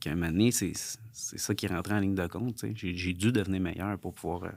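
Speaking at a very fast pace, a man uses ordinary pitch variation in a dry sound with no echo. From Quebec, Sherbrooke; Quebec. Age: 30s. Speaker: entrepreneur, former pro fighter; podcast guest. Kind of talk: podcast interview. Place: studio. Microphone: studio mic.

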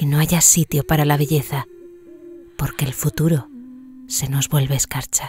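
In a dry, close recording with no echo, a woman with a very deep, low pitch talks at a fairly slow pace with fairly even intonation. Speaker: voice actor. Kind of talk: poetry reading.

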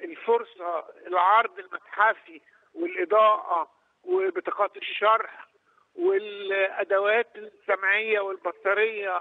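Speaking at a moderate pace with few pauses, a man's high voice shows big pitch swings and vocal fry in a dry, close sound with no echo.

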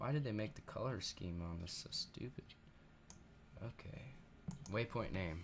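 A man with a fairly low, somewhat breathy voice speaks at a fairly slow pace. His intonation is lively, broken by long, frequent pauses. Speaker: gaming YouTuber. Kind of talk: let's play commentary. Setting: home recording room. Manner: casual, rambling.

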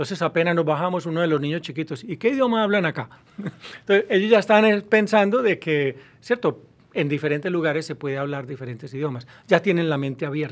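Lively intonation marks this man's voice. He speaks fairly quickly with a fairly high pitch. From Colombia, Medellín. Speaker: university professor; university professor guest. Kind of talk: interview. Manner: halting. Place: studio. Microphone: studio mic.

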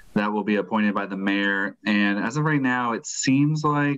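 Against a quiet background, a man talks at a moderate pace. His intonation stays fairly even. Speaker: city staff member reporting. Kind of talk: meeting update report. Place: home room. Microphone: video call.

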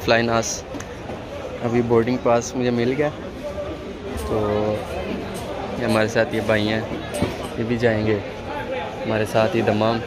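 Crowd noise fills the background as a man speaks in a dry sound with no echo. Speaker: travel vlogger. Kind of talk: casual vlog chat. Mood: calm, pleased. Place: station. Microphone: phone near.

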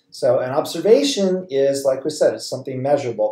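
Against a quiet background with audible room echo, a man talks at a moderate pace. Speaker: college chemistry instructor. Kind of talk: lecture. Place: home room.

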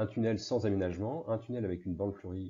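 Somewhat breathy, a man with a fairly low voice talks at a very fast pace with ordinary pitch variation. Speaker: agricultural researcher. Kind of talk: presentation. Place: home room. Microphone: earbuds.

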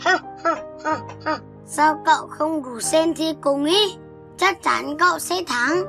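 A high-pitched put-on character voice moves at a moderate pace with long, frequent pauses while clear music plays in the background. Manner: smug, mocking.

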